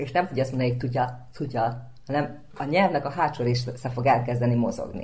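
A woman with a very deep, low pitch and a somewhat breathy voice speaks at a fairly quick pace with hardly any pauses. Her pitch variation is ordinary, and audible room echo surrounds her. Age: young. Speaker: speech therapist and actress. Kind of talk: radio interview.

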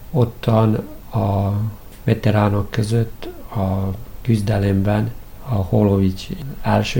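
A man's fairly low-pitched voice comes through noticeable background noise. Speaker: karate head coach. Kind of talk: radio interview.

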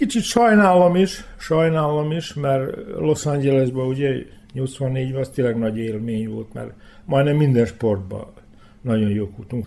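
Lively intonation marks this man's medium-pitched voice, which has a dark, mellow tone and a fairly slow pace. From Vojvodina, Serbia (Hungarian minority, Bezdan area). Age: 60s. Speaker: former handball player. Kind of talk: interview. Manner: halting, with repetitions.

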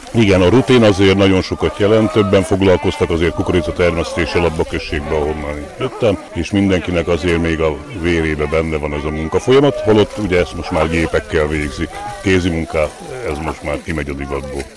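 With noticeable background noise behind him, a man talks at a fairly quick pace in a very deep, low pitch with ordinary pitch variation. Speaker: deputy mayor. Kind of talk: interview. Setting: outdoors at festival.

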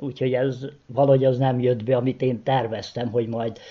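A man talks at a moderate pace in a Vojvodina accent. His medium-pitched voice is somewhat breathy. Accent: Vojvodina Hungarian dialect. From Vojvodina, Serbia (Kishegyes). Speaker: retired postman. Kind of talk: interview.

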